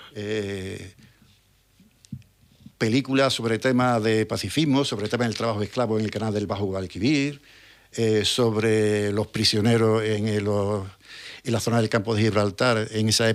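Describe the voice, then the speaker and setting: A man talks at a fairly slow pace with fairly even intonation. His pauses are long and frequent. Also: fairly low pitch for a man. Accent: Andalusian. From Trebujena, Cádiz, Andalusia, Spain. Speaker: retired history teacher. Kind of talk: radio interview answer. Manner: hesitant, reflective.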